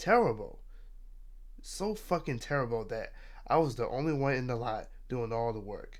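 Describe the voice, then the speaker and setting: A man speaks at a moderate pace with long, frequent pauses, and the room echo is audible. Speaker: streamer. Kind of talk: casual chat. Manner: halting.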